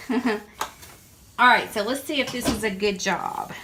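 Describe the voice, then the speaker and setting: The speech is fairly slow, with ordinary pitch variation. Noticeable noise sits in the background. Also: woman. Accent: strong Southern US. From Southern United States. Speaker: printmaker. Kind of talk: casual talk to camera.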